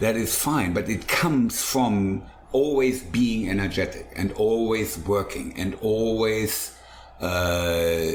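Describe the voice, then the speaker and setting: Very slowly, a man speaks in a fairly low pitch with ordinary pitch variation, with audible room echo and noticeable background noise. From Germany. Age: 60s. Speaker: chef and food truck owner. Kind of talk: casual interview.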